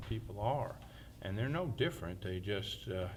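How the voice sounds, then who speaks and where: A somewhat breathy man at a moderate pace, with ordinary pitch variation and audible room echo. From New Jersey, then Alabama from age 12. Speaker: town mayor. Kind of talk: oral history testimony.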